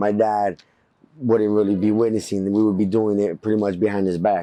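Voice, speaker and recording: Speaking with an American accent, a man holds a fairly low pitch. His delivery is monotone and flat at a moderate pace. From East Los Angeles. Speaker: Chicano rapper. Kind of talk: documentary interview answer.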